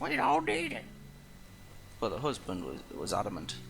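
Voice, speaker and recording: The speaker talks at a moderate pace with ordinary pitch variation and vocal fry. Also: man. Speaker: let's play gamer. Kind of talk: gameplay commentary. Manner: soft-spoken; trying to talk louder than usual.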